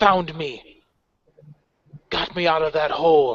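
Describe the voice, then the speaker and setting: Using a put-on character voice, a man delivers his lines fairly slowly. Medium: actual play. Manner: proud, declamatory.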